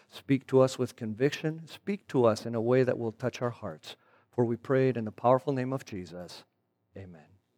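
A man with a Spanish accent speaks at a moderate pace in a dark, mellow tone, with ordinary pitch variation. His loudness swings widely in a very clean recording with a silent background. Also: medium pitch for a man. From Argentina. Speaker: guest preacher. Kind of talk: sermon. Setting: church.

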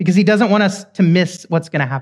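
A high-pitched man with an American accent and ordinary pitch variation. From Oklahoma. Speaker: guest preacher. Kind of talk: sermon. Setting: church.

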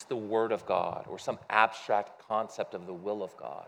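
Against a quiet background, a man with an American accent speaks at medium pitch. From US Midwest. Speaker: pastor. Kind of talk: sermon. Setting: church. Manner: loud.

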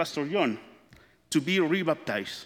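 The voice has a bright, sharp tone and lively intonation, moving at a fairly slow pace on a very clean recording with a silent background. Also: man. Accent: Spanish. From Chile. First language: Spanish. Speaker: church member, father. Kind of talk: testimony.

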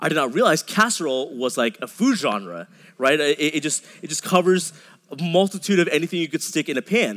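A man with a fairly high voice speaks with vocal fry. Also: lively intonation, fairly quick pace. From Dallas suburbs, Texas. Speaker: pastor. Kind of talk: sermon. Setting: church. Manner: halting, frequent repetitions.

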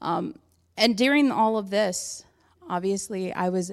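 A woman speaks in a normal speaking voice. Her pace is fairly slow, with ordinary pitch variation. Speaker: church member giving testimony. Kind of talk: testimony. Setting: church with congregation.

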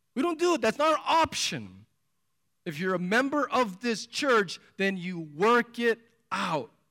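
A raised, projected voice with a bright, sharp tone moves through very wide pitch swings at a fairly slow pace in a very clean recording with a silent background. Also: man, high pitch for a man. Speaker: pastor. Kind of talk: sermon. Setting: church. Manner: animated.

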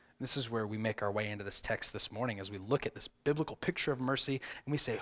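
In a Southern US accent, a man talks at a fairly quick pace with lively intonation, in a very clean recording with a silent background. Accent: Southern American. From US South. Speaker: pastor. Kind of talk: sermon. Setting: church.

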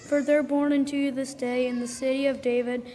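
Noticeable background noise surrounds a woman whose high-pitched voice stays monotone and flat. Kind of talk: scripture reading in church service. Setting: church.

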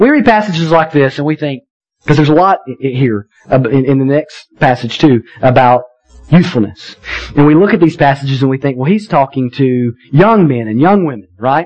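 Using an unremarkable speaking voice, a man talks at a moderate pace and a fairly high pitch with lively intonation. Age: 30s. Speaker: pastor. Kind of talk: sermon.

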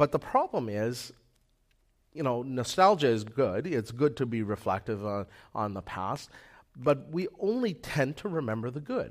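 In a normal speaking voice, a man with a Canadian accent talks at a moderate pace with lively intonation and medium pitch, on a very clean recording with a silent background. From Manitoba, Canada. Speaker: lay preacher. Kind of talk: sermon. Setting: church.

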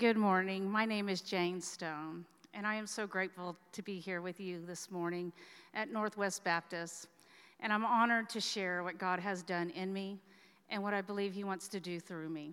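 A woman talks at a moderate pace in an unremarkable speaking voice. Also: medium pitch for a woman, fairly even intonation. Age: 40s. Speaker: church member giving testimony. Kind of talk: testimony.

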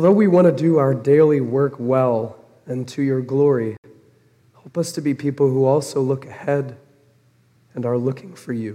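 Moderate pace and long, frequent pauses from a man of medium pitch, with ordinary pitch variation. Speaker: pastor. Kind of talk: sermon. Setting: church.

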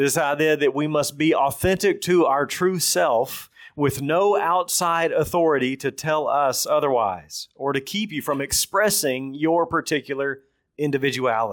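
Against a silent background in a very clean recording, a man with a strong Texan accent speaks at a moderate pace, with a fairly high pitch and ordinary pitch variation. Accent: thick Texan. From Texas. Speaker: preacher. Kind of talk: sermon. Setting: church.

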